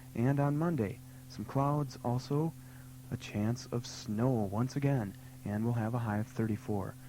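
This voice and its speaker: A man with a dark, mellow tone speaks at a fairly slow pace, somewhat breathy, with fairly even intonation. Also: medium pitch for a man. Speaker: radio DJ. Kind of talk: local AM radio announcer patter. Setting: radio station broadcast.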